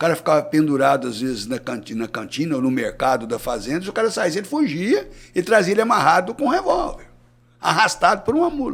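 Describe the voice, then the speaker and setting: A man talks at a very fast pace. His pitch is high and swings very widely. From Brazil, southern Minas Gerais. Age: 60s. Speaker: cattle rancher and veterinarian. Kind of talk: podcast interview.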